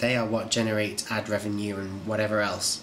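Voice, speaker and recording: British accent from a medium-pitched man at a fairly slow pace, with noticeable background noise. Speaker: video channel creator. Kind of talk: casual vlog update. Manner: informal, hesitant with fillers.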